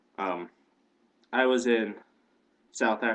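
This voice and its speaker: A man speaks with an Indiana accent. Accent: Midwestern American (Indiana). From Indiana, US Midwest. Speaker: video blogger. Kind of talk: casual vlog monologue. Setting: home webcam, on a couch.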